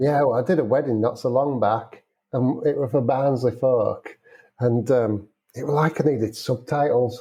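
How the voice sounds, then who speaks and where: With a Yorkshire accent, a man speaks at medium pitch and a moderate pace with fairly even intonation. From Yorkshire, England. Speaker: wedding and commercial photographer. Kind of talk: casual interview chat.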